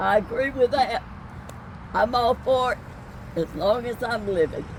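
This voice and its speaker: A woman talks at a fairly slow pace in a fairly high voice with ordinary pitch variation. Noticeable background noise runs underneath. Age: 80s+. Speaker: citizen at public meeting. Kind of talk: public question at outdoor meeting. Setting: outdoors, parking lot.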